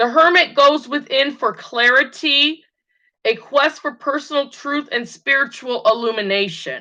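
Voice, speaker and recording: Over a quiet background, a woman projects a raised voice at a high pitch with a bright, sharp tone, speaking very slowly with ordinary pitch variation. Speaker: tarot reader. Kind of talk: tutorial. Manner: halting.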